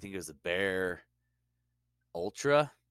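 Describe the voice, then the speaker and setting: A man's bright, sharp voice, fairly slow, with lively intonation. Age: 40s. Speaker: podcast co-host. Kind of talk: casual chat.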